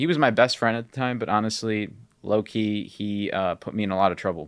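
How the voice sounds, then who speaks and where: With a Chicago accent, a man talks at a fairly low pitch. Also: very clean recording, silent background. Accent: Chicago American English. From Chicago area, US Midwest (born in Peru, moved at four). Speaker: podcast host and gym owner. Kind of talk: personal storytelling. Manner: casual, filler-heavy.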